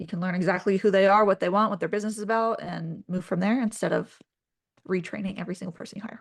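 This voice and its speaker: A woman's somewhat breathy, medium-pitched voice at a very fast pace, with fairly even intonation and big swings in loudness. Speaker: brand strategist. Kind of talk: casual chat.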